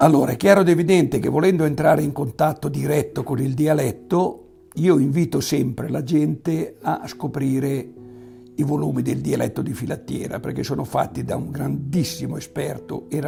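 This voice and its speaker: Music plays in the background as a man speaks at a moderate pace with a fairly high pitch and ordinary pitch variation. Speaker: farmer, beekeeper and local historian. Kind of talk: interview answer.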